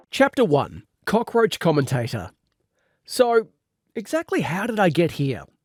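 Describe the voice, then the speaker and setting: A man with an Australian accent, very wide pitch swings and a moderate pace, on a very clean recording with a silent background. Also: dry, close sound with no echo. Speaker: radio presenter. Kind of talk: audiobook reading. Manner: humorous.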